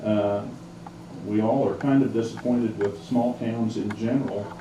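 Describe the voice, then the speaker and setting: Speaking at a moderate pace and a medium pitch, a man talks with a Midwestern US accent. Audible room echo and noticeable background noise surround him. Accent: US Midwest. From Kansas, Marion. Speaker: lawyer and oral history interviewer. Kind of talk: oral history interview. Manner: hesitant, many fillers.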